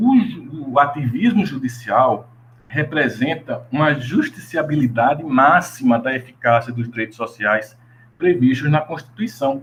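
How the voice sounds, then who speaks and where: A man's fairly high pitch with lively intonation. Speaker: law researcher and graduate student presenting research. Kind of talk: academic presentation. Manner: halting, with self-corrections.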